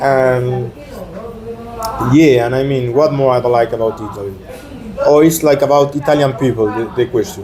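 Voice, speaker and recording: Pausing long and often, a man at medium pitch speaks at a moderate pace with fairly even intonation, amid noticeable background noise and audible room echo. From Argentina. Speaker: exchange student. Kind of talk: casual interview chat. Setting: in person in Naples. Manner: halting, many fillers; quiet.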